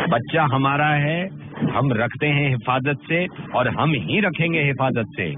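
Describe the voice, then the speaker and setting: A man with a fairly high pitch speaks at a very even loudness and ordinary pitch variation over noticeable background noise. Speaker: radio jockey doing prank calls. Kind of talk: prank phone call, comic banter.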